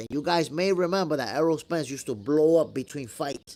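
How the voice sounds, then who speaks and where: In a very clean recording with a silent background, a man talks with a New York accent. His pitch is fairly high. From New York (moved from Dominican Republic at eight). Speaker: boxing commentator, channel host. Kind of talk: live stream chat answering viewer questions. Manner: casual, conversational.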